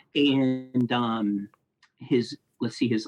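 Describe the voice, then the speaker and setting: Medium pitch from a man, the sound dry and close with no echo. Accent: Midwestern American. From US Midwest, Ohio (Columbus, Grove City). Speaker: film critic and video editor. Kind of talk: casual interview chat.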